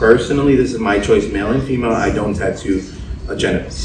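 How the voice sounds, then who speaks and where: A man with an American accent, audible room echo and noticeable background noise. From US, Spanish-speaking family. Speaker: tattoo artist and podcast host. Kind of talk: casual chat.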